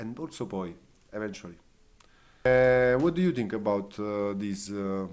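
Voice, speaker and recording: An Italian accent at a moderate pace, with long, frequent pauses. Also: man, fairly low pitch for a man, ordinary pitch variation. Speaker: fire performer. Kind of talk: casual chat. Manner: halting.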